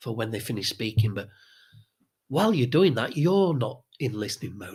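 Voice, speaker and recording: At a moderate pace, a somewhat breathy voice comes through on a very clean recording with a silent background. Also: man. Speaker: social skills coach. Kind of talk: tutorial.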